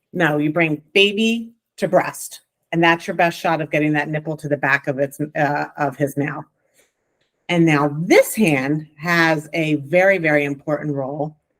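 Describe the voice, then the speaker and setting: A woman with a New Jersey accent talks at a fairly slow pace, her very deep, low pitch carrying fairly even intonation. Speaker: lactation consultant. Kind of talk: class instruction. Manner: casual, conversational.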